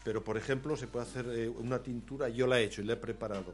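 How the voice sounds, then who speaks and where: His is an ordinary speaking voice, a man's medium pitch carried with fairly even intonation. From Spain, Aragón (Zaragoza province). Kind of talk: radio interview.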